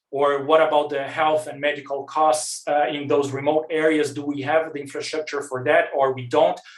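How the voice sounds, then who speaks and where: A man with a non-native accent speaks in a fairly high, monotone voice, barely pausing over noticeable background noise. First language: not English. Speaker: researcher. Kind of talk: conference presentation. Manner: fast.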